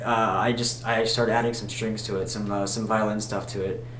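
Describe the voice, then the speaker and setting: A man mumbles at a fairly quick pace in monotone, flat intonation. Noticeable background noise and audible room echo surround him. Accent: American. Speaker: musician vlogger. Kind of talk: casual vlog monologue. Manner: mumbling; halting, many fillers.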